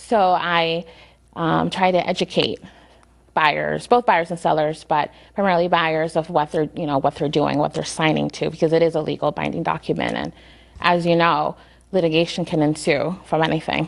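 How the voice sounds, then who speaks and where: A woman with a very deep, low pitch and vocal fry talks at a moderate pace with fairly even intonation. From Lawrence, Massachusetts. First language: Spanish. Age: young. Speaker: attorney. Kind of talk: interview. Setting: studio.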